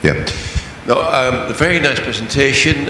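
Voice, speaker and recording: A man speaks at a moderate pace with ordinary pitch variation, amid noticeable background noise and audible room echo. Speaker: audience member asking a question. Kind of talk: question from the floor.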